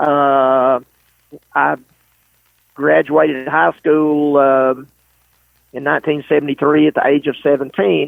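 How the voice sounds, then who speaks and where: Speaking with a Southern US accent, a man has fairly high pitch and fairly even intonation. His pace is fairly slow, with long, frequent pauses. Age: 60s. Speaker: race car driver. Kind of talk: interview. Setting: podcast.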